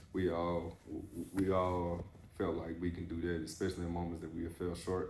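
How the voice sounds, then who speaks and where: Speaking at a moderate pace, a man with a very deep, low voice keeps a monotone, flat delivery that is somewhat breathy, with audible room echo. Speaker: podcast host, former athlete. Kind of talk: casual interview chat. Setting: barber shop.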